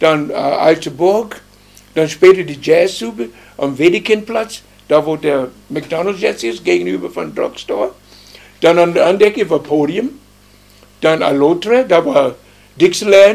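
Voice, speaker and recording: A man speaks at a fairly slow pace and a high pitch. Long pauses come often. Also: lively intonation. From US South, Alabama. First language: English (speaking German). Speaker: musician. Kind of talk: interview. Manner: halting.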